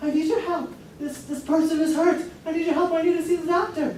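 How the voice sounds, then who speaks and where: In a put-on character voice, the speaker talks at a very fast pace with an extremely high pitch, and a slight echo is audible. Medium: stage play. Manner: urgent, excitable.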